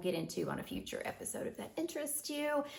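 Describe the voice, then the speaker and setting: A woman swings her pitch very widely as noticeable background noise sounds behind her. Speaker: business coach. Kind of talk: casual talk to camera. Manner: casual, rambling.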